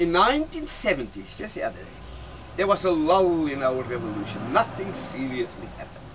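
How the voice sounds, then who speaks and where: A man's high-pitched voice, fairly quick, with very wide pitch swings and big swings in loudness over noticeable background noise. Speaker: tour guide. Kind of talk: guided tour talk to visitors. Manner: engaging storyteller.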